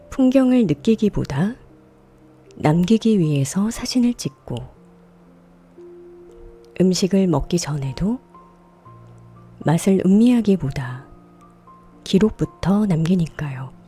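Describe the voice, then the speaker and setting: A woman speaks at a very slow pace in a calm tone, with long, frequent pauses and music in the background. Her medium pitch moves in very wide swings. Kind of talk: ASMR radio reading, sleep and healing narration. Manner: soft, calm, slow.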